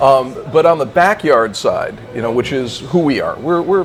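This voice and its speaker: With an American accent, a man speaks at a fairly high pitch. Background noise is noticeable. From Wisconsin, US Midwest. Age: 60s. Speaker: barbecue competitor. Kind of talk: casual interview.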